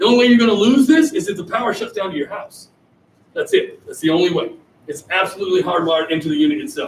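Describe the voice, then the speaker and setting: An American man speaks at a very fast pace in an extremely high pitch, his tone animated. His pitch swings very widely and his loudness shifts in big swings. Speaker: sales presenter. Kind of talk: sales pitch.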